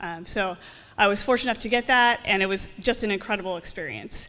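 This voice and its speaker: An animated woman with an American accent, bright and sharp in tone, at a fairly quick pace with ordinary pitch variation. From Southern California. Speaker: naval officer and helicopter pilot. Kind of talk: public talk. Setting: museum talk with audience. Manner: fast.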